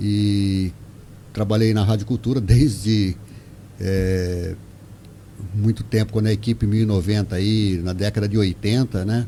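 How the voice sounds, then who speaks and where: A man's dark, mellow, somewhat breathy tone, fairly low in pitch, with fairly even intonation, a fairly slow pace and long, frequent pauses. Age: 60s. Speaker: retired utility worker, local figure. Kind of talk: radio interview.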